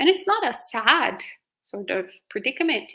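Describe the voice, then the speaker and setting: In a very clean recording with a silent background, a woman speaks at a moderate pace in an Italian accent with a bright, sharp tone. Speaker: Buddhist monastic. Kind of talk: live Q&A dharma talk.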